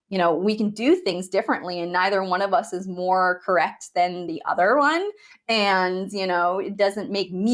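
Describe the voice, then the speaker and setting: Ordinary pitch variation at a moderate pace, hardly any pauses, on a very clean recording with a silent background. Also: woman. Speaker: bridal hair and makeup business coach, podcast host. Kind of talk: solo podcast monologue. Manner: casual, conversational with filler words; can sound judgy in tone.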